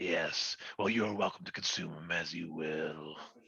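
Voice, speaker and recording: A man's put-on character voice, raspy and very deep, at a moderate pace. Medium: actual play. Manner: imperious, theatrical.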